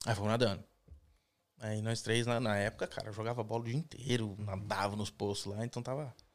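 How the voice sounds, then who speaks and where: In an ordinary speaking voice, a man talks fairly quickly at a fairly low pitch with fairly even intonation. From Brazil, São Paulo (raised), later Minas Gerais. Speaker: immigrant construction worker. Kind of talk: casual interview on live stream.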